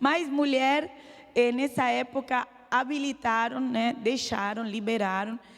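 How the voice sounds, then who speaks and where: A woman's high voice at a very slow pace with fairly even intonation. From Lebanon. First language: Arabic (speaking Portuguese). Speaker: church speaker giving testimony. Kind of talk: testimony. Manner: halting, hesitant.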